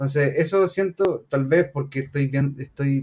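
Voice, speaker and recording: Somewhat breathy, a man speaks at a fairly high pitch with a Chilean accent. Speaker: teacher and podcast co-host. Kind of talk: casual chat.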